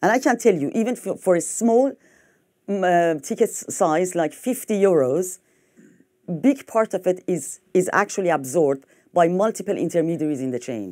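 With a French accent, a woman speaks at a moderate pace in a dark, mellow tone. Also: quiet background. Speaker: fintech executive. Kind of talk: conference talk. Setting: stage with audience. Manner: halting. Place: hall.

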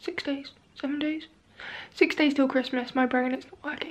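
Her speech unfolds at a moderate tempo. The woman's intonation stays fairly level. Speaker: vlogger. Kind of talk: casual vlog chat. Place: home room. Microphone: phone near.

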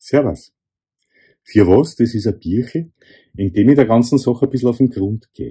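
A man's dark, mellow, somewhat breathy voice with a Viennese accent, lively intonation and a moderate pace, over a quiet background. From Vienna, Austria. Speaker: author. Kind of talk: casual introduction to camera. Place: home room. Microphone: phone near.

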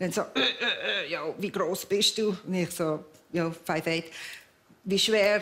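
The woman's medium-pitched voice proceeds at a fairly slow pace. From Basel, Switzerland. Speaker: stuntwoman. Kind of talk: talk show interview answer, casual storytelling. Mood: lively, laughing storytelling. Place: studio. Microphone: headset.

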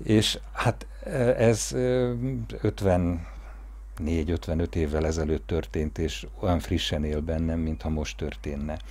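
A man speaks very slowly with a very deep, low pitch and very wide pitch swings. His voice is somewhat breathy. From Hungary. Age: 50s. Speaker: family storyteller narrating a documentary. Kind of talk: personal memoir narration; interview answer. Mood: warm, reminiscing. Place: garden.

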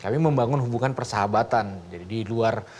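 A man races through his words very quickly, his medium-pitched voice moving up and down in a usual way. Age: young. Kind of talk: talk show conversation. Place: studio.

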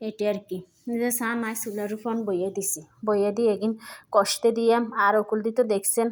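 A woman speaks with a fairly high pitch and a flat, monotone delivery. The recording is very clean, with a silent background. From Lakshmipur, Bangladesh. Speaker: home cook, cooking vlogger. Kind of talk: cooking tutorial. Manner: casual, chatty.

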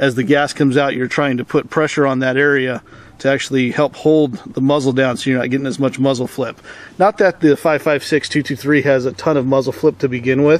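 Delivered at a fairly quick pace with fairly even intonation, a man's voice has a dry sound with no echo. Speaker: product reviewer. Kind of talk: tutorial. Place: garden.

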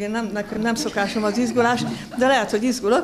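There is light background noise as a woman talks with ordinary pitch variation. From Hungarian countryside. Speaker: ceramic artist giving opening speech; speaker. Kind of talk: ceremonial opening speech. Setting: museum exhibition opening with audience. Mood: warm, a bit nervous. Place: hall. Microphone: podium.

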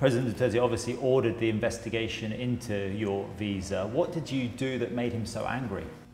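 A man at medium pitch and a fairly quick pace, fairly even intonation, hardly any pauses, with audible room echo and light background noise. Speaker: news correspondent. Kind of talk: interview questions. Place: hall. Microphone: lapel.

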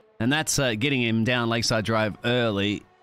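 A man talks while music plays in the background. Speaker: esports race commentator. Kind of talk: live race commentary, co-commentator analysis. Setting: recorded commentary over race footage. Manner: excitable, rapid-fire, punchy.

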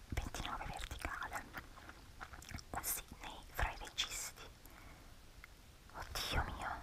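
A woman's whispering, relaxed and playful in tone, at a very slow pace with long, frequent pauses. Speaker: ASMR YouTuber. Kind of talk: ASMR soft spoken casual talk while doing a crossword. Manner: soft-spoken, relaxed, playful.

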